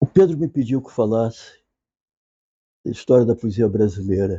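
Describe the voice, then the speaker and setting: Soft-spoken and somewhat breathy, a man talks at a moderate pace and medium pitch. His intonation is lively, and his loudness swings widely. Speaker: literature professor. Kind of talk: lecture. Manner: informal, conversational.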